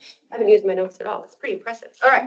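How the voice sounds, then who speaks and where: Animated in tone, a woman speaks at a high pitch with lively intonation. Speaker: financial advisor. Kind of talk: workshop presentation. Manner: fast.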